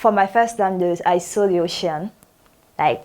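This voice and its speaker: A woman with a French accent speaks at a moderate pace. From Burkina Faso. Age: 20s. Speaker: native-speaker English lecturer. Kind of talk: lecture. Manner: halting.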